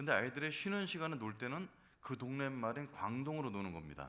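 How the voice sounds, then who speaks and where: Bright and sharp in tone, this voice moves at a moderate pace with very wide pitch swings and audible room echo. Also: man. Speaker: pastor. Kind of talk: sermon.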